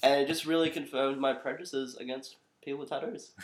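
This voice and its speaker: The speaker has an Australian accent. The words come at a very fast pace. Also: man. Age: 20s. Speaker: comedy podcast co-host. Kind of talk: casual chat.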